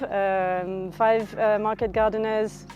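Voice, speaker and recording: A woman's medium-pitched voice with a French accent, very slow and fairly even in intonation, over background music. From France (Normandy). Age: 40s. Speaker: farmer. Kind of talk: interview.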